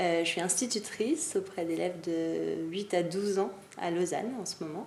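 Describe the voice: A woman's slightly mellow voice with vocal fry, at a moderate pace and ordinary pitch variation, in audible room echo. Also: fairly low pitch for a woman.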